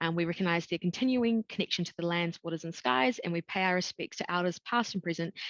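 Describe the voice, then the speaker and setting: A woman with a New Zealand accent talks at a very fast pace in a fairly low pitch, with ordinary pitch variation and a dry, close sound with no echo. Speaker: education recruitment consultant. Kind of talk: webinar presentation. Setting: video call webinar. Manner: casual, frequent 'um' fillers.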